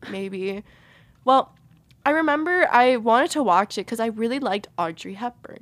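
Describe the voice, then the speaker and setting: A woman with an American accent uses a normal speaking voice at a fairly high pitch, moderate pace and lively intonation, in a dry, close sound with no echo. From Peruvian family, US. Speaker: college radio podcast co-host. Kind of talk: casual chat. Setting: studio.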